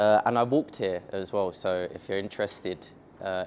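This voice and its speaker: A man speaks with a London accent. Light background noise can be heard. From England, London. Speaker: software company founder, tech speaker; speaker. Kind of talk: conference tech talk. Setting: stage with audience at meetup. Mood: casual, joking. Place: meeting room.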